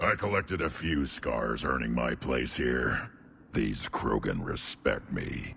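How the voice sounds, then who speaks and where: A man's growling put-on character voice, very deep and low, with lively intonation at a fairly slow pace, against clear background noise. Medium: video game. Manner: gruff, laughing, eager for a fight.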